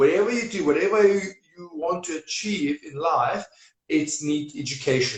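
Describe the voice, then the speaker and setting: Showing lively intonation and big swings in loudness, a man with a Serbian accent speaks at fairly high pitch. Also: moderate pace. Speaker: property investment coach. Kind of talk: interview.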